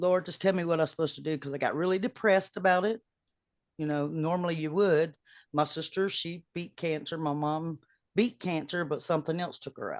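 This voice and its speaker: Against a quiet background, a woman with an ordinary speaking voice talks at a fairly quick pace, her pitch fairly low with ordinary pitch variation. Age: 60s. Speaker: singer-songwriter. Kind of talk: casual chat.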